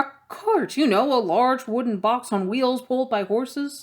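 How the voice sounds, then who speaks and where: A woman puts on a high-pitched character voice. Her intonation is lively and her loudness very even. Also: moderate pace. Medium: read story. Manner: grumbling, insolent.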